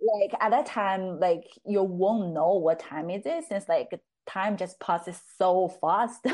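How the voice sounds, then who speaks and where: A very slow delivery in a Chinese accent, with ordinary pitch variation. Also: woman, medium pitch for a woman. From China, Chengde (Hebei, near Beijing). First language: Mandarin Chinese. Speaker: psychology student and research assistant. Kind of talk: casual interview conversation. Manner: hesitant, many fillers.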